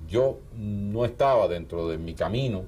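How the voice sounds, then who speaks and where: A man's somewhat breathy voice. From Cuba. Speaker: writer and filmmaker. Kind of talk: interview. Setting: office. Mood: calm, reflective. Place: studio. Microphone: lapel.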